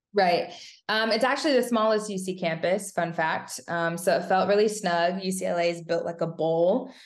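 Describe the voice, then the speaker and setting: A woman talks at a moderate pace in a plain, everyday voice, medium in pitch with ordinary pitch variation. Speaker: former college gymnast. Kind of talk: casual chat.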